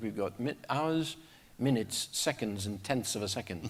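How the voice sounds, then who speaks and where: Lively intonation runs through a man's medium-pitched voice. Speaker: aircraft manufacturer pilot representative, conference panelist. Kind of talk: conference presentation. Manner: fast.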